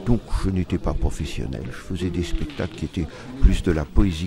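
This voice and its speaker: A man's voice ranges through very wide pitch swings amid noticeable background noise. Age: 60s. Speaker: stage actor. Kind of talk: interview. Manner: halting.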